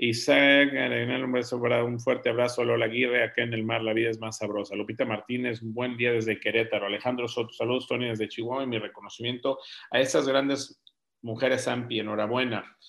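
Fairly quick male speech at a medium pitch. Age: 50s. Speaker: real estate forum host. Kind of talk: live video forum chat. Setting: video call. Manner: animated.

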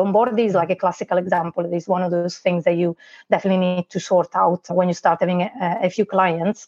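The voice carries an Italian accent and moves at a fairly quick pace. Its intonation is monotone and flat. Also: woman. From Italy. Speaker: online business manager. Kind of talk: interview.

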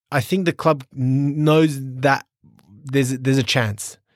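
At a fairly slow pace, the voice moves with ordinary pitch variation in a dry, close sound with no echo. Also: man. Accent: Australian. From Sydney, Australia. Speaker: professional footballer. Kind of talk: interview.

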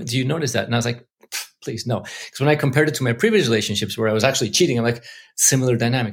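Talking at a very fast pace, a man sounds somewhat breathy. His pitch varies in an ordinary way. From Mexico City. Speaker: investor and entrepreneur. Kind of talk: interview.

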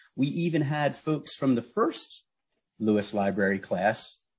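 Somewhat breathy and fairly slow, a man speaks in a fairly high voice with lively intonation. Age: 50s. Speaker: teaching artist. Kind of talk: radio interview.

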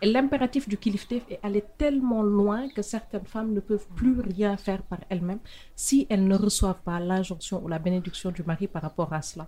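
This woman speaks at a fairly quick pace, with a medium pitch. Her voice is somewhat breathy, with ordinary pitch variation. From Senegal, Saint-Louis. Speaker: podcast host. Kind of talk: interview.

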